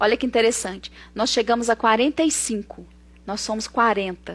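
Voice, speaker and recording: The animated voice moves at a moderate pace, with ordinary pitch variation and vocal fry. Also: woman. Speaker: psychotherapist. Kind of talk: live stream talk. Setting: online live stream.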